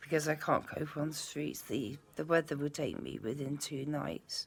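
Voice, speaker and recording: Talking at a moderate pace, a woman has a very deep, low voice with vocal fry and fairly even intonation. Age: 50s. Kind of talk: casual talk to camera.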